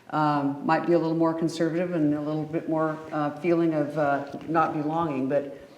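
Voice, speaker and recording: A woman with a very deep, low pitch speaks at a fairly quick pace and fairly even intonation, with noticeable background noise and audible room echo. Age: 70s. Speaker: panel guest, retired nurse. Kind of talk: panel discussion.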